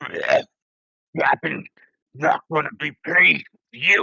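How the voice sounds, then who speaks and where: A man puts on a character voice that is guttural and raspy. He speaks at a very slow pace. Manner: croaking, threatening.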